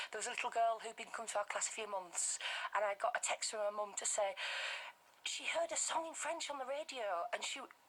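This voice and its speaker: In a Bradford accent, a woman speaks at a fairly quick pace with a fairly high pitch and lively intonation, against noticeable background noise. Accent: Bradford, West Yorkshire. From northern England, Bradford, West Yorkshire. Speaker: language teacher for toddlers. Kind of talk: radio interview. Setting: radio studio.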